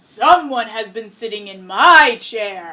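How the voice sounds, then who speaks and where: A raspy, fairly high-pitched female-sounding put-on character voice at a fairly slow pace. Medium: read story.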